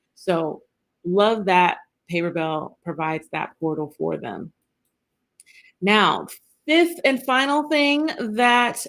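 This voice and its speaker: A woman speaks at a medium pitch with very wide pitch swings. The recording is very clean, with a silent background. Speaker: business coach. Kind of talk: live stream training. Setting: live stream. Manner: animated.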